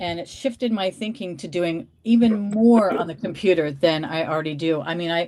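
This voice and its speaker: Here is a woman with an unremarkable speaking voice at medium pitch. She talks at a fairly quick pace with ordinary pitch variation. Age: 60s. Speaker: reseller. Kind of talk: casual chat.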